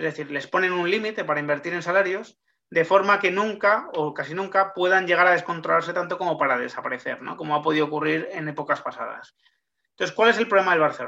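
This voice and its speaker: At a very fast pace, a man speaks with a high pitch and a bright, sharp tone. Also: ordinary pitch variation. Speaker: sports journalist. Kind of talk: interview, explanatory.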